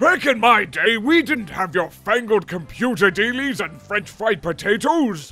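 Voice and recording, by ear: A man does a put-on character voice, high-pitched and raised to carry, with very wide pitch swings. He talks at a moderate pace with hardly any pauses while faint music plays in the background.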